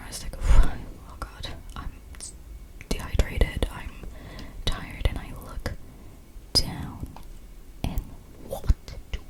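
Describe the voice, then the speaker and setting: A woman is whispering at a very slow pace, with long, frequent pauses. Her loudness swings widely over noticeable background noise. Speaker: ASMR content creator. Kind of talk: casual storytelling ramble.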